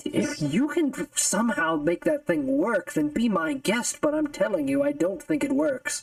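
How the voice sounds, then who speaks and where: Someone talks in a put-on character voice, moving at a moderate pace. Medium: actual play. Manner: nervous, hesitant, stammering.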